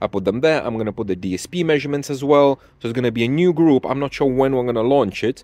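Speaking fast, a man with a medium pitch, ordinary pitch variation and a slightly mellow tone delivers his lines.

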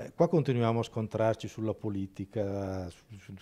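Talking at a fairly quick pace, a man speaks. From Italy. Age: 60s. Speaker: film director; interviewee. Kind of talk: interview. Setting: film festival. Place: hall. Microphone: handheld.

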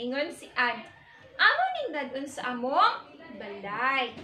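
A woman speaks very slowly in a raised, projected, high voice with lively intonation. Light background noise and audible room echo surround her. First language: Cebuano (speaking Tagalog). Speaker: teacher. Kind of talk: classroom storytelling, reading aloud and translating. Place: classroom. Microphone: camera far.

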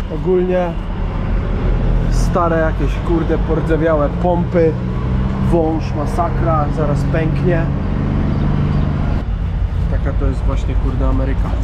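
A man speaks at a very slow pace with long, frequent pauses over loud background noise. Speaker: truck driver vlogger. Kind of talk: casual vlog chat. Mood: relaxed, later grumbling. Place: street. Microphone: phone near.

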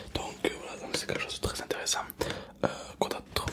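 A man is speaking. He whispers throughout. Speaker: food reviewer. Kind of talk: casual vlog commentary, humorous. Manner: soft-spoken ASMR salesman voice. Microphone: studio mic.

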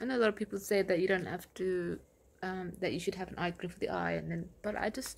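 A woman talks at a very fast pace with vocal fry and ordinary pitch variation. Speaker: cosmetics brand founder. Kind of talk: casual chat. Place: home room. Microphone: phone near.

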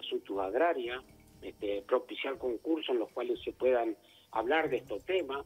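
A man at a moderate pace with lively intonation, music in the background. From Uruguay, Cerro Largo (interior). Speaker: politician, legislator. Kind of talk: radio interview.

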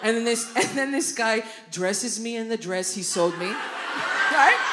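Noticeable background noise accompanies a woman speaking at a fairly slow pace. Her pitch is fairly high, with ordinary variation. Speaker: stand-up comedian. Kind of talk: live stand-up comedy set. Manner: animated, casual, profane. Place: stage. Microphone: handheld.

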